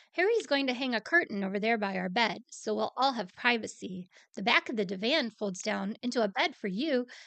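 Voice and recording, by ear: Natural voice, reading aloud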